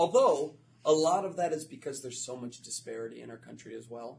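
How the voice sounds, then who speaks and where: A man speaks with an American accent at a fairly quick pace. His voice is somewhat breathy. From Florida. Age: 30s. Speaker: educator and author. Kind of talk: interview.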